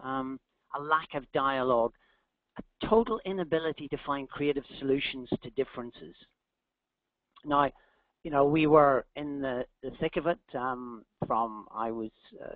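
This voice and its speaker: With a Northern Irish accent, a man speaks at a moderate pace in a fairly high voice with ordinary pitch variation, big swings in loudness and long, frequent pauses. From Northern Ireland. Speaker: executive coach, company founder. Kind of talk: webinar talk. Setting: online webinar.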